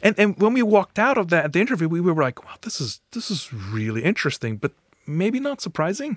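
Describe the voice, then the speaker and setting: A man with a slight non-native accent, high-pitched for a man, at a very fast pace, with very wide pitch swings and big swings in loudness, in a dry, close recording with no echo, very clean over a silent background. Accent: slight foreign. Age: 40s. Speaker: professor and new citizen. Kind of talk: interview.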